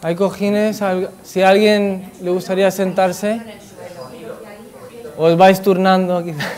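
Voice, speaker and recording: Noticeable background noise sits behind a man speaking at a high pitch with flat, monotone intonation. His pace is very slow, broken by long, frequent pauses. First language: not Spanish (Spanish is third language) (speaking Spanish). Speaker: Buddhist speaker. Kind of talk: talk to an audience. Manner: halting.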